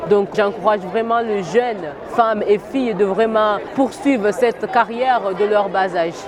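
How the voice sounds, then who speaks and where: At a fairly slow pace, a woman speaks with fairly even intonation. Noticeable background noise is present. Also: fairly high pitch for a woman. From Comoros. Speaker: youth educator. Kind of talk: interview statement.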